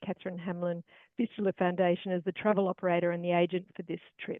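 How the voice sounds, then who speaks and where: A woman speaks in an Australian accent at a very fast pace. Her pitch sits in the medium range. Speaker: charity travel organiser. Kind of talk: webinar presentation.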